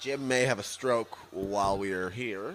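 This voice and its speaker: Music plays behind a man whose intonation is lively. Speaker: co-host. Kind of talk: casual banter, heated joking argument while watching wrestling. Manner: punchy, excited, interjecting, jokey.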